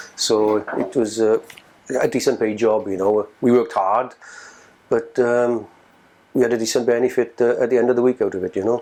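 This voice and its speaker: A man with a South Wales accent talks fairly quickly at a medium pitch in a dark, mellow tone, with monotone, flat intonation and long, frequent pauses. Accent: South Wales Welsh English. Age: 50s. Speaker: former coal miner. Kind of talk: oral history interview. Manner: halting.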